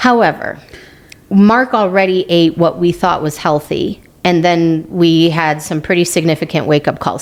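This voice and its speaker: A woman with an American accent talks at a moderate pace, her pitch fairly low. Noticeable background noise runs underneath. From United States. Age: 50s. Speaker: podcast co-host. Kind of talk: casual chat.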